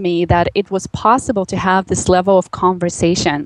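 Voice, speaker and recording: A woman's voice with music in the background. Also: dry, close sound with no echo. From Russia, Magadan. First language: Russian. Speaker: life coach. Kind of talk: interview. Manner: animated.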